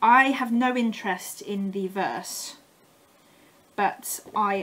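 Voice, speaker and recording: A woman speaks with an English accent. Her pitch is medium, with ordinary variation. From England. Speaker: craft vlogger. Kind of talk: casual haul show-and-tell.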